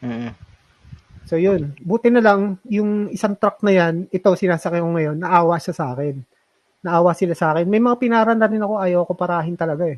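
At a fairly quick pace, a man with a high pitch for a man speaks with ordinary pitch variation. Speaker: cycling podcast co-host. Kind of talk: casual chat. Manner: halting, many fillers.

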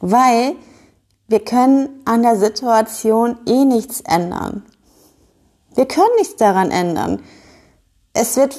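A woman talks at a fairly high pitch in a dark, mellow tone. Her pitch varies in an ordinary way against a quiet background. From northern Germany (Schleswig-Holstein). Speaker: podcast host and business owner. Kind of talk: casual monologue.

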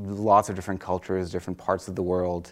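A man speaks at a very fast pace. His pitch is very deep and low against a quiet background. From France. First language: French. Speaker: professor. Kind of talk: interview. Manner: hesitant with fillers.

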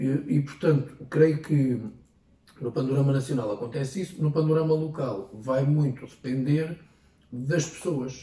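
With ordinary pitch variation, a man talks in a fairly high pitch at a fairly slow pace. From Portugal, Ferrel (Peniche area). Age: 20s. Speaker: local politician. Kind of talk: interview. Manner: halting.

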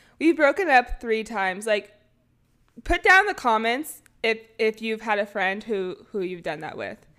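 In a Californian accent, a woman with a fairly high pitch talks in an animated, bright, sharp tone, with very wide pitch swings and big swings in loudness. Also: moderate pace. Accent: Californian American. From US West, California Bay Area. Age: 20s. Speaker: podcast co-host, college golfer. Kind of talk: casual chat.

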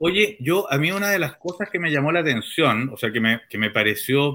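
A man with a Chilean accent talks at a moderate pace in a bright, sharp tone. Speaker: journalist and interview host. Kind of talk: interview. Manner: hesitant.

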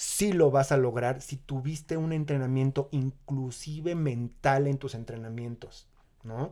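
Recorded very cleanly against a silent background, a man talks in a fairly high pitch with ordinary pitch variation and a plain, everyday voice. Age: 40s. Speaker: amateur marathon runner. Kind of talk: casual interview.

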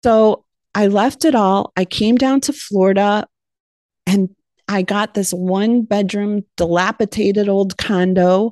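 A woman with an American accent and an ordinary speaking voice, medium in pitch, at a fairly slow pace, with very even loudness, fairly even intonation and a quiet background. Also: dry, close sound with no echo. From Ohio, US Midwest. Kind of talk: testimony.

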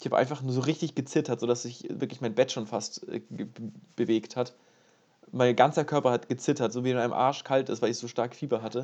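A man with a medium-pitched voice talks at a fairly quick pace, broken by long, frequent pauses. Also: fairly even intonation. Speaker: podcast co-host, university student. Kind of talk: casual chat.

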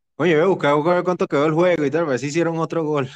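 A man speaks in a Venezuelan accent. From Venezuela, Caracas. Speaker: podcast host. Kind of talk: casual chat.

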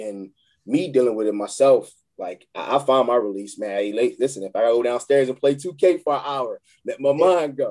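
A man with a Philadelphia accent speaks at a moderate pace in a medium-pitched voice. His tone is dark and mellow, with ordinary pitch variation. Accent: Philadelphia-area urban American. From Chester, Pennsylvania. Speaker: youth court liaison and football coach. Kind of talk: casual interview. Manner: halting, repetitive starts.

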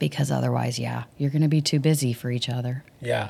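A woman speaks at a fairly quick pace with a very deep, low pitch. Vocal fry runs through her voice. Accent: Texan. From Dallas, Texas. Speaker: worship ministry leader. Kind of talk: interview conversation.

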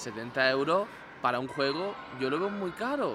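A man speaks with lively intonation over noticeable background noise, his voice carrying audible room echo. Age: 20s. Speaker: gaming podcaster. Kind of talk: casual chat.

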